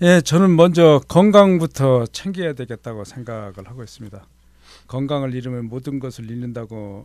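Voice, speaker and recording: At a moderate pace, a man of medium pitch uses lively intonation and big swings in loudness, in a very clean recording with a silent background. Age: 60s. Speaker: retiring firefighter, fire department administrator. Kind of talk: radio interview. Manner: hesitant, many fillers.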